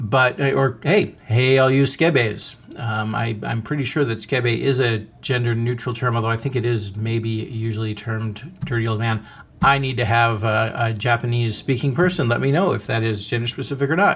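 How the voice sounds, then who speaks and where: A somewhat breathy male voice with hardly any pauses. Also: medium pitch for a man, ordinary pitch variation, moderate pace. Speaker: podcast host. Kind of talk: podcast monologue. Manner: animated.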